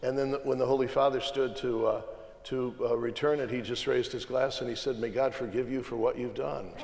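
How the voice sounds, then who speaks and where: Noticeable background noise runs under a man talking at a fairly quick pace. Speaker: cardinal. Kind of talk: panel conversation.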